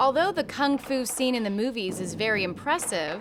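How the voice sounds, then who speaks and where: A woman talks at a moderate pace with very wide pitch swings, and noticeable background noise runs underneath. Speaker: TV documentary host. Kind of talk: documentary narration.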